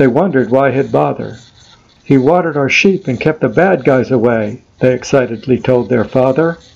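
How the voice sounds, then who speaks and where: Against noticeable background noise, a man talks at a moderate pace and medium pitch, his loudness very even and his pitch variation ordinary. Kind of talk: rhymed poem performance, storytelling verse. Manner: rhythmic, sing-song rhyming cadence, animated storytelling; playful, lightly humorous tone with dramatic emphasis.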